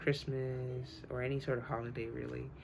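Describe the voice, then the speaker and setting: Audible room echo surrounds a woman talking at a moderate speed. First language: Spanish. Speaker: student. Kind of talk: class speech. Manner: halting, many fillers.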